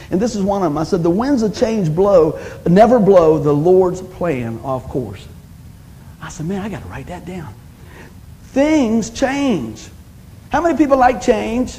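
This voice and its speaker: A man's high-pitched voice at a fairly slow pace, with long, frequent pauses, big swings in loudness and very wide pitch swings. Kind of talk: sermon, preacher in full flow. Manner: animated, call-and-response, punchy one-liners; warm, exhorting, urging the congregation to say amen.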